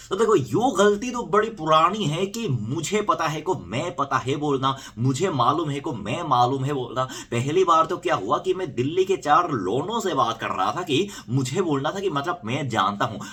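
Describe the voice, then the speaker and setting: Noticeable background noise accompanies a man with a fairly high voice. He speaks with hardly any pauses and very wide pitch swings. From South Korea. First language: Korean (speaking Hindi). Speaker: YouTuber. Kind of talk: casual vlog storytelling.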